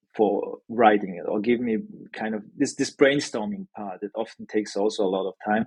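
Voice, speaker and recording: In a dry, close sound with no echo, a man with a non-native accent speaks at a moderate pace, his loudness swinging widely. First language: not English. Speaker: newsletter founder, sales expert. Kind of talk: podcast interview. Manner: hesitant, many fillers.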